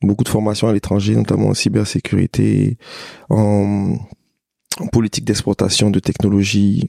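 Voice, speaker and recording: The sound is dry and close with no echo as a man talks at a moderate pace. He takes long, frequent pauses. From Côte d'Ivoire, Abidjan. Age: 30s. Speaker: entrepreneur. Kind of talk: casual interview.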